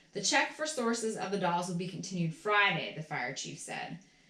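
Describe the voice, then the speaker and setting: The intonation here is lively and the pace moderate. Noticeable background noise runs underneath. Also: woman. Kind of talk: ASMR reading of an old newspaper article. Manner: soft-spoken, calm.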